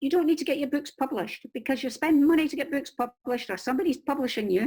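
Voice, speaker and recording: A woman speaks in a Scottish accent at a high pitch, with ordinary pitch variation. The recording is very clean, with a silent background. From Scotland. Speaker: crime novelist and book marketing coach. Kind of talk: interview giving advice. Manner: animated.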